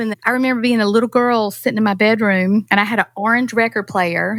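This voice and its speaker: A woman speaks with a North Carolina accent. Her pitch is fairly high. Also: dry, close sound with no echo. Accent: North Carolina Southern. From North Carolina, US South. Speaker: singer-songwriter. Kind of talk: casual interview chat. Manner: animated.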